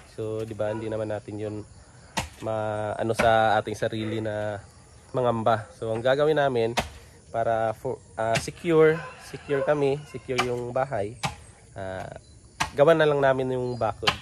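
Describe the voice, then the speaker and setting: A man speaks at medium pitch and a moderate pace, with fairly even intonation. He leaves long, frequent pauses, and there is noticeable background noise. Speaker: vlogger. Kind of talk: casual vlog. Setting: at home.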